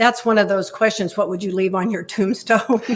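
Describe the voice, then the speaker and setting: A woman speaks at a fairly high pitch. The recording is very clean, with a silent background. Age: 70s. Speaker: columnist and author. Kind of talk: casual chat. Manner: halting.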